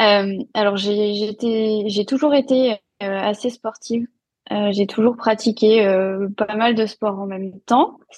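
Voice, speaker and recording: A woman's voice sits fairly high. Its pitch varies in an ordinary way. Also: dry, close sound with no echo. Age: 30s. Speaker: nutrition and fitness coach, former speech therapist. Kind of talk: podcast interview.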